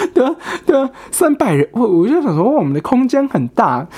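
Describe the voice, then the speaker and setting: A man is speaking. His pitch swings very widely. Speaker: podcast host. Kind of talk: casual solo chat.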